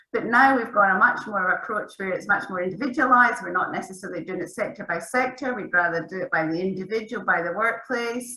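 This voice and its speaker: A woman of medium pitch at a very fast pace, hardly any pauses, ordinary pitch variation and noticeable background noise. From Scotland. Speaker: academic researcher. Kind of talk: panel discussion.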